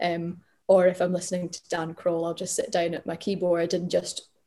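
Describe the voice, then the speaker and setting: In a Glaswegian accent, a woman speaks at a moderate pace with a dark, mellow tone. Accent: Glaswegian Scottish. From Glasgow, Scotland. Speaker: singer-songwriter. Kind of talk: interview.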